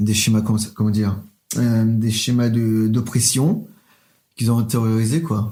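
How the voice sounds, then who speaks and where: A man's dark, mellow voice at medium pitch, monotone and flat in intonation, at a fairly slow pace. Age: 20s. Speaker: drag queen. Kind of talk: interview. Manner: hesitant.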